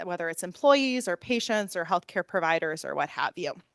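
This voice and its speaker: Loud and with very wide pitch swings, a woman is heard in a dry, close sound with no echo against a quiet background. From US Midwest, Northeast Ohio. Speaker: professor. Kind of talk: lecture. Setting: room with live audience, also streamed online.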